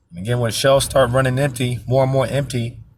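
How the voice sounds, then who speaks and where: At a moderate pace, a man speaks at a medium pitch in a somewhat breathy voice. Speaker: religious commentator. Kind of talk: scripture commentary. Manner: halting.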